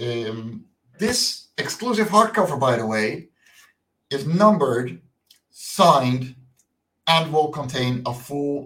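A man with a Dutch accent, very slow pace and lively intonation. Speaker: comic book creator. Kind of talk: interview. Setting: video call.

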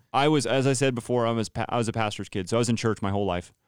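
The recording is dry and close-miked, without any echo. It's a male voice with an American accent. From US West (California Central Valley). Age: 30s. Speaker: worship pastor and podcast host. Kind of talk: casual chat. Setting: studio. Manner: talkative, often interrupts.

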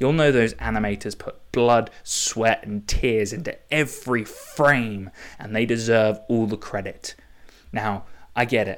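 A man with an English accent talks at a fairly slow pace. His pitch is medium and his intonation fairly even. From England. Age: 20s. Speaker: podcast host. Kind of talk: casual monologue. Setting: home recording.

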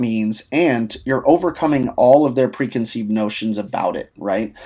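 A man's medium-pitched voice with an American accent, ordinary pitch variation, moderate pace, and a normal speaking voice. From US Southwest, Albuquerque; teen years in Ohio. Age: 30s. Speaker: marketing consultant. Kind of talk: casual interview.

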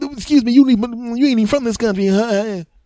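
In a put-on character voice, a man speaks at an extremely high pitch and a moderate pace, with fairly even intonation. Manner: rude, hostile, dismissive.

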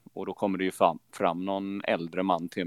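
A man speaks in a very deep, low voice at a moderate pace, his intonation monotone and flat. The sound is dry and close, with no echo. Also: very clean recording, silent background. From Falkenberg, Halland, Sweden. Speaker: football supporter leader. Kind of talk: interview. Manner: hesitant, many fillers.

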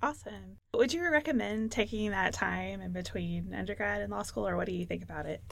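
At a fairly quick pace and with hardly any pauses, a woman speaks in an American accent. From Texas. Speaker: pre-law program manager and attorney. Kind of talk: interview; reading statistics aloud.

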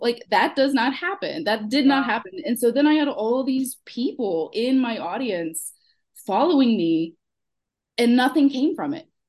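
A woman with a slight Houston accent speaks in a high pitch. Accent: Houston Texan, slight, comes out when sassy. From Texas, Houston. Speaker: small business owner, former client.

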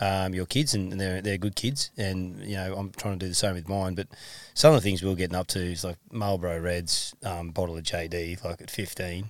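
A man's very deep, low voice with an Australian accent, ordinary pitch variation, and a very clean recording over a silent background. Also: moderate pace. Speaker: football coach and podcast co-host. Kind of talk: casual chat.

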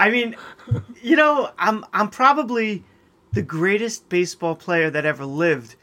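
A man projects a raised voice, high in pitch with a bright, sharp tone. His pitch swings very widely at a moderate pace. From Long Island, New York (Nassau County). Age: 50s. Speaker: podcast guest, host's college friend. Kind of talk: casual chat.

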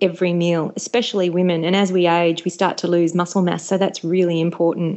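This woman's pitch is medium. She talks with an Australian accent. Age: 40s. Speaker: author and former TV and radio presenter. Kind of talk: casual chat.

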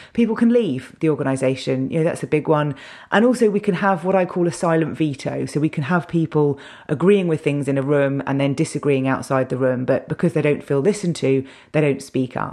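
Using a very deep, low pitch and a dark, mellow tone, a woman talks at a fairly quick pace with lively intonation. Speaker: podcast host, internal communications consultant. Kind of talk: solo podcast monologue. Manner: fast.

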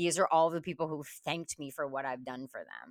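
Speech at a fairly quick pace comes through a very clean recording with a silent background and a dry, close sound with no echo. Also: woman. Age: 40s. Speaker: networking and business development strategist. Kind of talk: interview.

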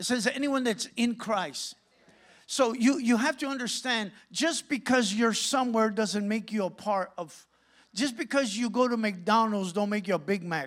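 A man with an American accent, high in pitch with ordinary pitch variation, at a moderate pace on a very clean recording with a silent background. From Santa Ana, California. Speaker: pastor. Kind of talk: sermon. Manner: animated.

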